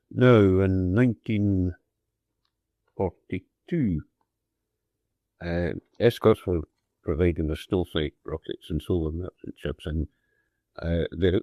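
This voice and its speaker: With a Scottish accent, a man talks at a very deep, low pitch and a fairly slow pace with ordinary pitch variation. The recording is very clean, with a silent background and a dry, close sound with no echo. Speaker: WW2 merchant navy radio officer. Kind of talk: personal wartime recollection. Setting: old cassette recording.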